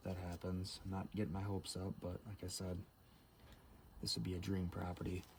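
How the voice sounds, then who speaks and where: Whispering at a fairly quick pace, a man sounds somewhat breathy and leaves long, frequent pauses. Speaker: outdoor vlogger. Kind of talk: casual vlog narration. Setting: outdoors. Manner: half-whispering.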